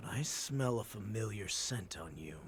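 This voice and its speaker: Putting on a raspy character voice, a man speaks at fairly low pitch and a moderate pace with lively intonation over clear background noise. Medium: video game. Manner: curt.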